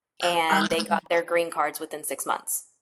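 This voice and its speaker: Heard in a very clean recording against a silent background, a woman uses a plain, everyday voice at a fairly low pitch, speaking at a moderate pace with fairly even intonation. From North Carolina, US (born in Mexico, came at two). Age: 30s. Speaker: DACA recipient sharing her story. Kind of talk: casual interview conversation.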